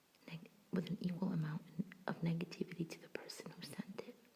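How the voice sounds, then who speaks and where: Someone whispers at a moderate pace. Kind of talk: ASMR relaxation reading of affirmations. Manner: soft-spoken and whispered, calming.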